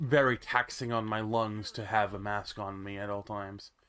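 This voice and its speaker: A bright, sharp tone with fairly even intonation. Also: man. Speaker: VTuber gamer. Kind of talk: casual vlog chat. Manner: hesitant, filler-heavy.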